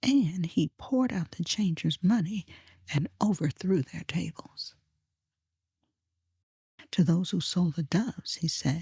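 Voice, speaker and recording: Speaking at a very slow pace in a calm tone, a woman has a fairly low, dark, mellow, somewhat breathy voice with lively intonation and a dry, close sound with no echo. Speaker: Bible reader / narrator. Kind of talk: quiet Bible reading for sleep. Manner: soft-spoken, calm, slow.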